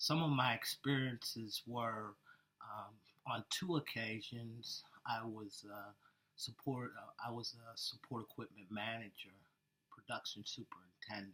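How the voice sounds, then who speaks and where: A soft-spoken man talks at a fairly slow pace with medium pitch. His tone is bright and sharp, and his intonation fairly even. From Pennsylvania, West Mifflin (Pittsburgh area). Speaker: air force veteran, job candidate. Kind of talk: job interview.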